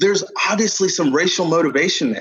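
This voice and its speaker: A man with an American accent speaks at a high pitch and moderate pace, with ordinary pitch variation. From Nigerian American, born UK, raised Katy Texas.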